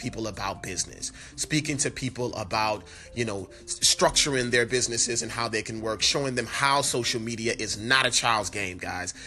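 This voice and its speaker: Medium-pitched male speech at a moderate pace, fairly even in intonation, with music in the background. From New Orleans, Louisiana. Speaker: podcast host, entrepreneur and speaker. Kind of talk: solo podcast monologue. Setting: on location in New Orleans. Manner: casual, filler-heavy.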